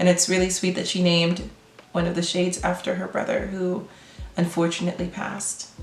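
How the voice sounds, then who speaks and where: Amid noticeable background noise and audible room echo, a woman speaks at a fairly quick pace. Her pitch is fairly low. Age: 20s. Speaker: makeup vlogger. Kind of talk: makeup tutorial chat. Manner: deadpan.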